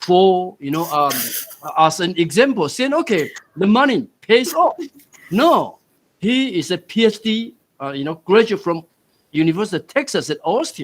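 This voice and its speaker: A man with a Taiwanese accent, high in pitch, at a fairly slow pace with very wide pitch swings. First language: Taiwanese Hokkien. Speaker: university dean, forum moderator. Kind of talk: panel discussion moderation.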